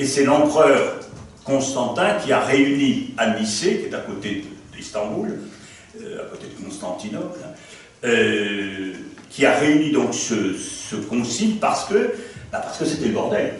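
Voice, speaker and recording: Over noticeable background noise and audible room echo, a man with a fairly high voice speaks very slowly, with long, frequent pauses and very wide pitch swings. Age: 70s. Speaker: priest and theology lecturer. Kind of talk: lecture. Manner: conversational, hesitant fillers.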